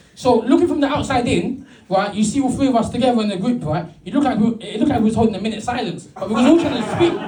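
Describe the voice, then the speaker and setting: A man speaks at a very fast pace with hardly any pauses, his pitch extremely high and his intonation lively. Noticeable background noise and audible room echo fill the recording. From London (Brixton). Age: 30s. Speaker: stand-up comedian. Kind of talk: stand-up. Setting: stage with audience. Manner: halting, repeated words.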